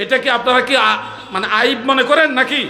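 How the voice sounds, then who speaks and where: A man's raised, projected voice amid noticeable background noise and audible room echo. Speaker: Islamic preacher. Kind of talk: sermon. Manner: loud; impassioned, rising volume.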